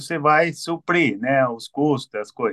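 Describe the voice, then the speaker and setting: A man speaks in a normal speaking voice at a fairly high pitch with ordinary pitch variation. His pace is fairly slow, and the sound is dry and close with no echo. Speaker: workshop organizer. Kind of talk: announcement.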